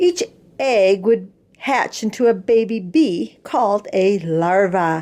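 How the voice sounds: The speaker reads in a natural voice.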